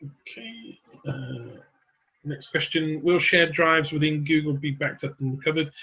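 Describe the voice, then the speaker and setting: A man speaks in an unremarkable speaking voice. His intonation is fairly even and his pace fairly slow. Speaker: product presenter. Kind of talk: webinar Q&A. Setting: online webinar.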